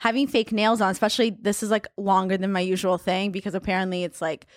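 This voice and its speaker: On a very clean recording with a silent background, a woman speaks at a very fast pace in a dry, close sound with no echo. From Israel (born in Russia). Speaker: meme account creator, former accountant. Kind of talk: casual chat.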